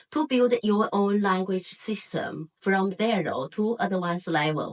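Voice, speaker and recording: Recorded dry and close with no echo, a woman with a Chinese accent speaks slowly-ish at a fairly slow pace, medium in pitch with lively intonation. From China, Hebei. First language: Mandarin Chinese. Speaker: Chinese language teacher. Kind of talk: self-introduction video.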